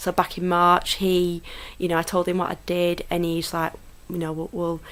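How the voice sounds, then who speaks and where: A woman speaks at a fairly quick pace in a fairly low pitch. Her intonation is monotone and flat, in a very clean recording with a silent background. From Lancashire, Chorley, northern England. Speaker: football club PR manager. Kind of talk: podcast interview. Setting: studio. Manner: hesitant, many fillers.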